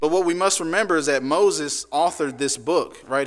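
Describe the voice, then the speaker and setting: Fairly high in pitch, this man's voice moves with ordinary pitch variation. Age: 30s. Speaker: preacher. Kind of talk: sermon. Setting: church. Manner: halting.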